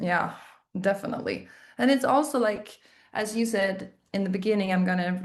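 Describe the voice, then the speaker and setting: A woman speaks with a Swedish accent. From southern Sweden. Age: 30s. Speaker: indie musician. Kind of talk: casual interview. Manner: halting.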